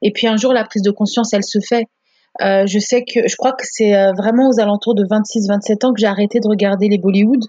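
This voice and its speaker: A woman's somewhat breathy, fairly high voice at a fairly quick pace. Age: 30s. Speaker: podcast guest sharing her marriage story. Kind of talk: personal testimony in casual interview. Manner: animated.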